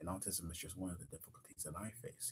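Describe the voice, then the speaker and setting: His voice comes out somewhat breathy. This man's pitch is very deep and low. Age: 20s. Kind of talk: live-stream personal monologue. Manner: fast; halting, many repetitions.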